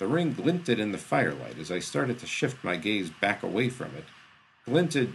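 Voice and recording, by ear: A passage read aloud in a natural voice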